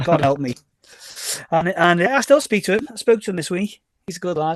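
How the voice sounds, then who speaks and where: Lively intonation marks this man's high-pitched voice, delivered with a Liverpool accent. The sound is dry and close, with no echo. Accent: Scouse. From Liverpool (Formby), England. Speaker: DJ and record label owner. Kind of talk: podcast interview.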